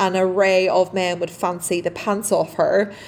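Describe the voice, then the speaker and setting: A woman with an Irish accent, medium in pitch, at a fairly slow pace. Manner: laughs often, candid.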